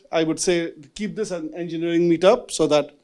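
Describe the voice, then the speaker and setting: A loud man's voice, high in pitch with a dark, mellow tone, on a very clean recording with a silent background. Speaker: venture capitalist moderating a panel. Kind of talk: fireside chat moderation. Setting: stage with live audience at a meetup. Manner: casual, filler-heavy.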